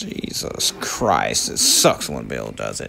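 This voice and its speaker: Over faint music in the background, a man uses a raspy, put-on character voice at a fairly slow pace. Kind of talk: casual bro comedy voiceover. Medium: fan dub. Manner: laid-back, mocking, unimpressed.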